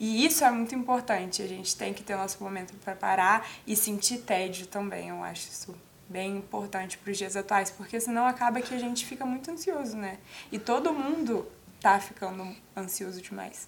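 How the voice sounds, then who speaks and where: Here is an ordinary speaking voice from a woman at medium pitch. She talks at a moderate pace with ordinary pitch variation. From Espírito Santo, Brazil (Guarapari). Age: 20s. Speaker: psychology student. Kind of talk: casual interview. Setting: TV studio.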